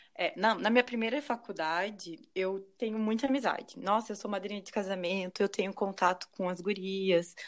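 A woman with a normal speaking voice, at a moderate pace with hardly any pauses and big swings in loudness. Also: medium pitch for a woman, ordinary pitch variation. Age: 30s. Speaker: medical student, former pharmacist. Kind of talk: casual chat.

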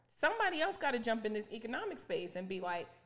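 An animated tone with audible room echo. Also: woman. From moved around with Air Force family. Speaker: podcast co-host. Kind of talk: casual chat. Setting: in person, sitting across from co-host.

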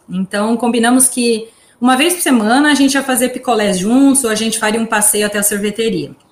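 A woman speaks with a fairly high pitch. Noticeable background noise runs behind her. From Brazil, São Carlos. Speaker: podcast host, journalist. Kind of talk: casual chat.

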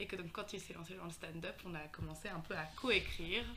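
In a room with audible echo, a woman talks at a moderate pace, her medium pitch showing ordinary variation. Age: 20s. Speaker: medical student. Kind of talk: casual chat.

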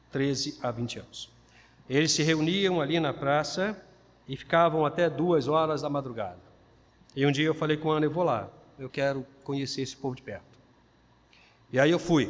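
A man speaks at a moderate pace with fairly high pitch. His pauses are long and frequent. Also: ordinary pitch variation. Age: 50s. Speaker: pastor. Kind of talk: sermon.

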